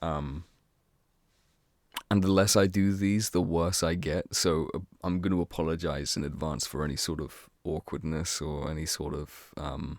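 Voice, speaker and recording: A man talks quietly at a moderate pace. His very deep, low voice keeps fairly even intonation. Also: very clean recording, silent background. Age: 30s. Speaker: gaming youtuber. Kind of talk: casual chat. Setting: at family home at night. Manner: hushed, keeping voice down; hesitant, many fillers.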